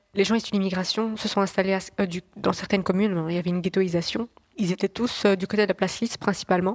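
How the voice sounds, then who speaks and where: A woman at a medium pitch and a very fast pace, fairly even in intonation, dry and close with no echo. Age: 20s. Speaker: journalist. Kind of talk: podcast interview.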